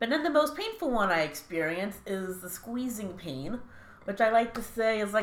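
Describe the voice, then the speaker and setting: At a fairly slow pace comes a normal speaking voice. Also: woman. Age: 20s. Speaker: chronic pain sufferer sharing her story. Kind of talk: casual interview.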